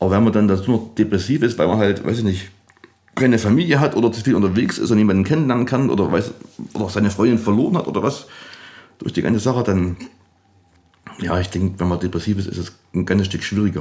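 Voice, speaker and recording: Talking at a very fast pace yet with long, frequent pauses, a man uses a fairly low pitch and ordinary pitch variation. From Saxony, Erzgebirge (Annaberg area). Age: young. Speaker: DJ and music producer. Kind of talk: casual interview. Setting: music studio lounge.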